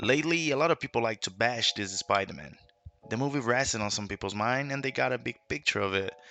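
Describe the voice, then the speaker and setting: A man with a non-native accent talks at a very fast pace with lively intonation. His medium-pitched voice has vocal fry. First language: not English. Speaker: YouTube film commentator. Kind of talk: movie commentary video essay.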